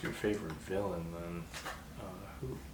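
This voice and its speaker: A man with a relaxed tone amid noticeable background noise. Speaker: ASMR creator. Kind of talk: ASMR role play. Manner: casual, relaxed.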